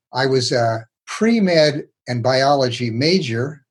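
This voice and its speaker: A man with a medium-pitched, somewhat breathy voice is talking. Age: 80s+. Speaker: retired psychiatrist. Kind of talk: interview. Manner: informal.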